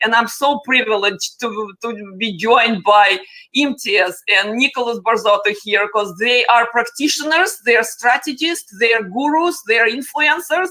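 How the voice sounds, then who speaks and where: A woman speaks at a fairly slow pace in a Russian accent, her pitch high. Her intonation is lively and her tone is bright and sharp. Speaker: panel moderator, tech influencer. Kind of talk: panel discussion.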